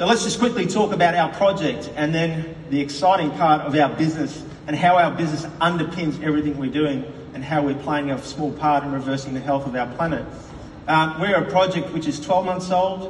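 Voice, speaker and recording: Amid noticeable background noise and audible room echo, a man speaks at a fairly quick pace in a fairly high pitch with ordinary pitch variation. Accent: Australian. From Australia, Queensland (Brisbane). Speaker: company executive. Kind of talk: conference speech. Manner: animated, with frequent fillers.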